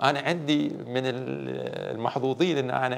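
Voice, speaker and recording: A man with a Bahraini accent. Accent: Bahraini Gulf Arabic. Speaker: sports educator. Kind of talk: interview. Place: studio. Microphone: lapel.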